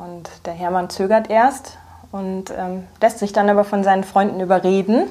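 A woman talks at a moderate pace in a medium pitch with fairly even intonation. Her tone is dark and mellow. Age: 30s. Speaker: graphic designer and illustrator. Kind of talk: casual interview. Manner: hesitant, many filler sounds.

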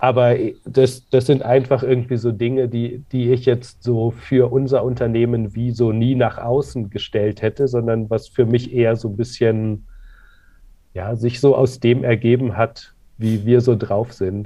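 A man speaks at a fairly slow pace in a somewhat breathy, medium-pitched voice with monotone, flat intonation. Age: 40s. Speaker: clothing company co-founder. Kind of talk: interview. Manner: hesitant, many fillers.

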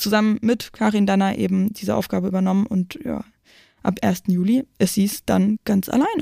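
A woman with a dark, mellow tone talks at medium pitch and a moderate pace, recorded very cleanly against a silent background with a dry, close sound and no echo. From Brandenburg, near Berlin. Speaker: football podcast host. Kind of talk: news roundup; casual chat. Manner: animated.

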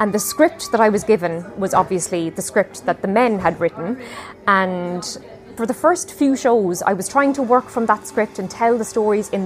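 With an Irish accent, a woman speaks at a moderate pace in a fairly high voice with ordinary pitch variation, amid noticeable background noise. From Ireland. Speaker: storyteller and singer. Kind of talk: interview.

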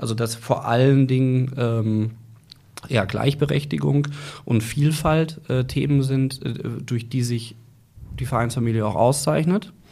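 Here a man speaks at a fairly slow pace with long, frequent pauses and ordinary pitch variation. His tone is dark and mellow, and somewhat breathy. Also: medium pitch for a man. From Germany, Ruhr area (Gelsenkirchen). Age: 40s. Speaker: football club director. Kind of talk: interview.

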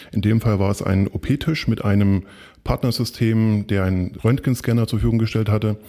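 In a very clean recording with a silent background, a man with a fairly low pitch and a dark, mellow tone speaks with fairly even intonation. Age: 40s. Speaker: freelance project manager. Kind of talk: interview.

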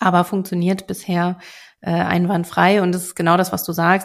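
This is a woman with a plain, everyday voice, speaking at a moderate pace. The recording is very clean, with a silent background. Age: 30s. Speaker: real estate investor. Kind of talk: interview.

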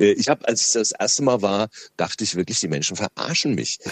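Lively intonation marks this man's speech. He keeps a fairly quick pace. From Lower Franconia, Bavaria (Schöllkrippen, near Aschaffenburg). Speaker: radio host and comedian. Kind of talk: casual interview.

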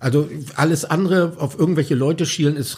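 Somewhat breathy, the voice has a dark, mellow tone and a moderate pace. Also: man. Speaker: pop musician and author. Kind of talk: interview. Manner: halting, many fillers.

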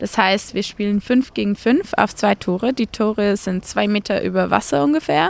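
A woman's unremarkable speaking voice at medium pitch and moderate pace, with ordinary pitch variation and hardly any pauses. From Zurich, Switzerland. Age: 20s. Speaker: canoe polo athlete. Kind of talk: interview.

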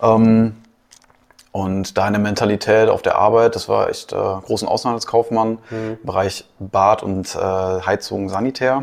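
The speaker uses a normal speaking voice at a fairly slow pace, with fairly even intonation. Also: man, medium pitch for a man. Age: 20s. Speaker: business consultant. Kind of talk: casual chat.

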